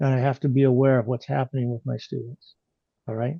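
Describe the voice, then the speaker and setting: This man speaks at a medium pitch. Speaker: driving instructor trainer. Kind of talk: virtual workshop presentation. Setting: video call. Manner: animated.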